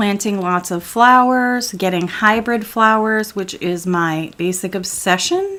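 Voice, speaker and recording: A woman speaks at a medium pitch, fairly slowly and with hardly any pauses. Her pitch varies in an ordinary way over noticeable background noise. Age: 40s. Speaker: gaming streamer. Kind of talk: casual gameplay commentary. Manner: loud.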